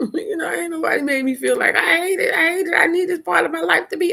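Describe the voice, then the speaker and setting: A woman talks at a very fast pace, her tone bright, sharp and animated. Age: 50s. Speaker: live streamer. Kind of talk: casual chat. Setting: live stream.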